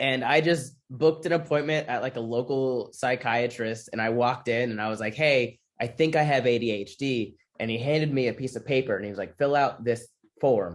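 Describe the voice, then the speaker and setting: At a fairly quick pace, a man with an American accent talks at a medium pitch with ordinary pitch variation. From US Midwest (Michigan). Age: 20s. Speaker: comedian and military veteran. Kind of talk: interview. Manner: casual, halting with restarts.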